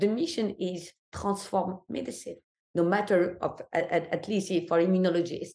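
A somewhat breathy woman with a non-native accent. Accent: foreign. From Algeria. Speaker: immunology professor. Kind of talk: interview. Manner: halting, many repetitions.

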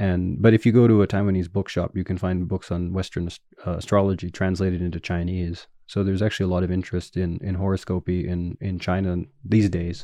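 A man with a Canadian accent speaks very fast in a very deep, low voice. His intonation stays flat and monotone. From Canada, Winnipeg. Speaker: academic historian. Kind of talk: interview. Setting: in-person interview.

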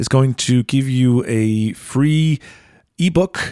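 A dark, mellow tone with ordinary pitch variation, dry and close with no echo, on a very clean recording with a silent background. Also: man. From Iceland. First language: Icelandic. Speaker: podcast host and singer-songwriter. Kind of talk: podcast intro and outro; casual chat.

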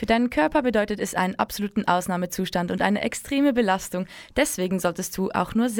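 The recording is very clean and its background silent. A woman's words come at a very fast pace. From Switzerland, German-speaking, Serbian heritage. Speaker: community radio co-host. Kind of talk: late-night radio chat. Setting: dark radio studio.

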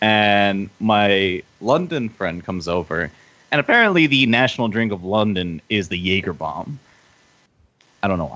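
A normal speaking voice with an American accent, lively intonation and a moderate pace. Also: man, fairly low pitch for a man. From US. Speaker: podcast guest. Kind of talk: casual chat.

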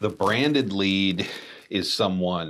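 This man has a very deep, low pitch with ordinary pitch variation. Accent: Texan. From Texas. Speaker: digital marketing agency staff. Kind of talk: casual chat.

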